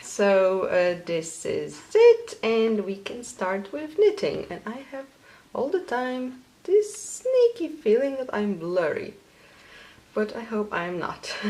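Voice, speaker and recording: A woman with a Polish accent speaks at a very slow pace. Noticeable background noise runs underneath. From Poland. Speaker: knitting podcaster. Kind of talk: casual vlog.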